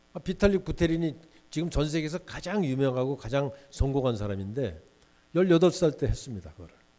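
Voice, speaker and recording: A man speaks at a fairly high pitch and a fairly quick pace, his tone dark and mellow. His intonation is lively, and his loudness swings widely. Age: 60s. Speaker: guest lecturer, business executive. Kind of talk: lecture. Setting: lecture hall with student audience.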